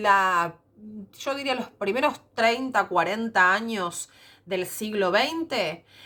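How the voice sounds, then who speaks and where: Very slow speech from a fairly high-pitched woman with lively intonation. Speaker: secondary school teacher. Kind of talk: recorded lecture. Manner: hesitant fillers.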